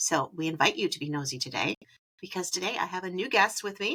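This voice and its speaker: A woman with a Wisconsin accent talks at a fairly quick clip, her bright, sharp tone carried by lively intonation. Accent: Wisconsin accent, long vowels. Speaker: podcast host. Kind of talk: casual chat; scripted podcast intro. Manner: animated.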